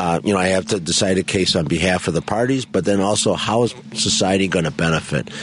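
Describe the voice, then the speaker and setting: A fairly quick voice with an American accent and ordinary pitch variation, over noticeable background noise. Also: man. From Chicago (Pilsen/Bridgeport). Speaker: judge. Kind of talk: radio interview. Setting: studio.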